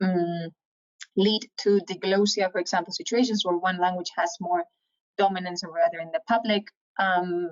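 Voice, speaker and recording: Speaking at a moderate pace, a woman with a Spanish accent uses a medium pitch. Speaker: professor. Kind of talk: lecture.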